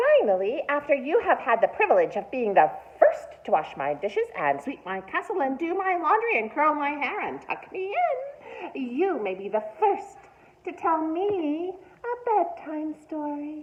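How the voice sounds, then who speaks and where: A woman cackles in a put-on, high-pitched character voice. She speaks at a moderate pace. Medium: read story. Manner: cackling, bossy.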